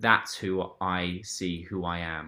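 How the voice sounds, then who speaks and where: Very deep and low in pitch, a man speaks with an English accent in a bright, sharp tone. His intonation stays monotone and flat, and the recording is very clean with a silent background. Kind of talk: interview answer.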